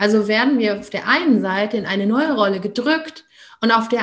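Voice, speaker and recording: Somewhat breathy and fairly high-pitched, a woman talks at a moderate pace with lively intonation. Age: 30s. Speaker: parenting coach. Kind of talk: interview.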